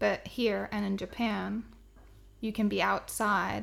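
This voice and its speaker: A woman with a Swedish accent at a fairly slow pace. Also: very clean recording, silent background. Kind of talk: casual chat.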